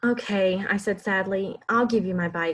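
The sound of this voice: An unforced reading voice moves with ordinary changes in pitch.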